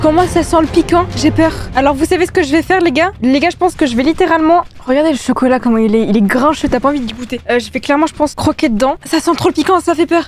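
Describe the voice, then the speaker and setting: Speaking very fast in a high pitch, a woman sounds animated, with ordinary pitch variation. Noticeable background noise runs underneath. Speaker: YouTuber. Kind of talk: casual vlog challenge. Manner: fast when stressed.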